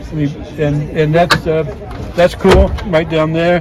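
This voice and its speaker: Over noticeable background noise, a man speaks at a moderate pace in a fairly high pitch. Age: 70s. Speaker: vehicle owner. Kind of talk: casual interview. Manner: halting, many fillers.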